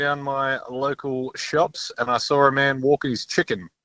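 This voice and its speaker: Pitched fairly high, a man talks with an Australian accent. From Perth, Western Australia. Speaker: radio host. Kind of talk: casual chat.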